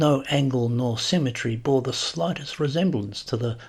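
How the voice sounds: What we hear is a natural reading voice.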